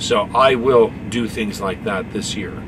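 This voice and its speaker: Noticeable background noise sits under the audio. A man is speaking. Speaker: truck driver vlogger. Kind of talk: casual vlog chat. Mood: earnest, grateful. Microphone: phone near.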